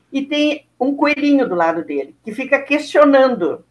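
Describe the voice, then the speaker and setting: A woman speaks at a moderate pace with a Rio Grande do Sul accent. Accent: southern Brazilian Portuguese (gaúcho). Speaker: teacher, actress and writer. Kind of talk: interview.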